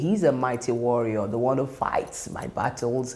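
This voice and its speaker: A woman with a Nigerian accent at a moderate pace. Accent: Nigerian (Yoruba) English. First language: Yoruba. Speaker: worship leader. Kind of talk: monologue interview.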